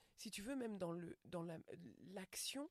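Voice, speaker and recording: A woman's voice, dry and close with no echo. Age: 40s. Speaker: stand-up comedian. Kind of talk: casual interview chat.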